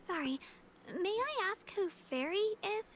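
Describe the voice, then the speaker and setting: A woman's put-on character voice, squeaky and warm, extremely high in pitch with very wide swings, at a moderate pace over clear background noise. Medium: video game. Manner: polite, warm.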